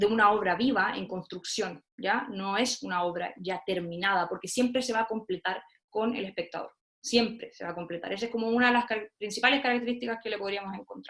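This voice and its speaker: A woman speaks at a fairly quick pace and a fairly high pitch. Her pitch variation is ordinary. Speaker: theatre researcher and lecturer. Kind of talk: online talk. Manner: fast.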